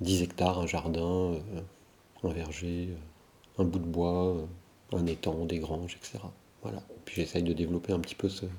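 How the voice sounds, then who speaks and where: A man's very deep, low voice with a dark, mellow tone, flat and monotone, at a fairly slow pace with long, frequent pauses. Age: 50s. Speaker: political science lecturer. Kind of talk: interview conversation. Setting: at his home. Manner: hesitant, with many fillers.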